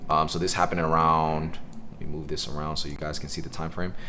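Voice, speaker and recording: Someone speaks at a very fast pace with ordinary pitch variation, and audible room echo is present. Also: man. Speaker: day trading educator streamer. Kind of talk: live trading tutorial stream. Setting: live stream with Zoom call. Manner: casual.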